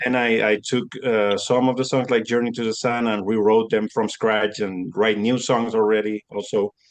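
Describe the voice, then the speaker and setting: A man with a Spanish accent speaks in a monotone, flat way, with hardly any pauses. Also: medium pitch for a man, moderate pace. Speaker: metal musician. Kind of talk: interview. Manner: halting.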